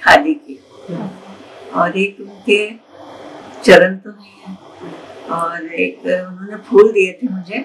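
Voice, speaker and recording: A woman's very slow speech with long, frequent pauses, ordinary pitch variation and light background noise. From Varanasi, India. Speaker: interviewee sharing memories. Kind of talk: interview answer. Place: home room.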